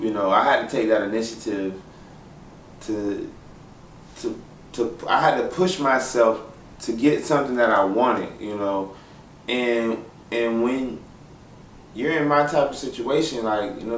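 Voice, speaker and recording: Moderately paced speech with an American accent, ordinary pitch variation and long, frequent pauses, over noticeable background noise. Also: man. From St. Petersburg, Florida. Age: 20s. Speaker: graphic designer. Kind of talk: personal story told to camera. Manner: casual, hesitant.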